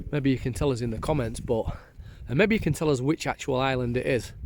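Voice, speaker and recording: In a Yorkshire accent, a man delivers his words at a very fast pace, with a medium pitch and ordinary pitch variation. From northern England, Doncaster. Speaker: vlogger. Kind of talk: casual chat. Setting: outdoors.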